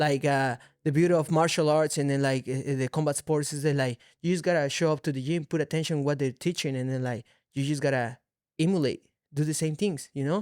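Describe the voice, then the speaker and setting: With a Mexican accent and fairly even intonation, the speaker moves at a fairly quick pace in a very clean recording with a silent background. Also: man, fairly high pitch for a man. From Mexico City, Mexico. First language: Spanish. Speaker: mixed martial arts fighter. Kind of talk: casual chat. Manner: halting.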